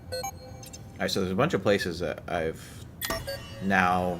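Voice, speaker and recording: A man with a very deep, low pitch speaks in a calm tone at a moderate pace, with audible room echo and noticeable background noise. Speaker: gaming streamer. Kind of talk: live gameplay commentary. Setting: live stream. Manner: hesitant, many fillers.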